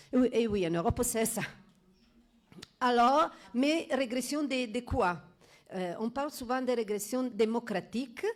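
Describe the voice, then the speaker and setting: A woman with an Italian accent talks at a fairly slow pace and high pitch, with ordinary pitch variation and long, frequent pauses. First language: Italian (speaking French). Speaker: law professor. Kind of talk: conference talk. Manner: halting, many hesitations.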